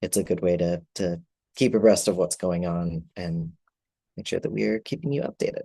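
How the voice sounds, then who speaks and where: A man speaks at a moderate pace with a very deep, low pitch and a dark, mellow tone. His pitch swings very widely. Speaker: nonprofit communications and policy director. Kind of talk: meeting presentation. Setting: video call. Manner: hesitant, many fillers.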